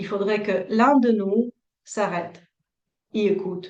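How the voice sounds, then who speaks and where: A woman speaks at a very slow pace. Her voice sits at a medium pitch with ordinary pitch variation. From Latvia. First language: Russian (speaking French). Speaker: couples therapist. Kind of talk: interview. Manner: hesitant, many fillers.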